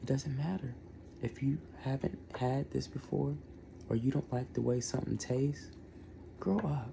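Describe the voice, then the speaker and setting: Pausing long and often, a man with medium pitch and a somewhat breathy voice shows ordinary pitch variation. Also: moderate pace, very even loudness. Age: under 40. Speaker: food reviewer. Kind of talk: casual product review vlog. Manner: whispering at times; animated.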